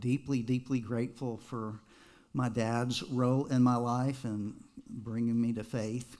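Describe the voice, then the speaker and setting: In an American accent, a man speaks at a fairly slow pace in a monotone, flat intonation, with audible room echo around him. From Texas. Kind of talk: personal testimony to a congregation.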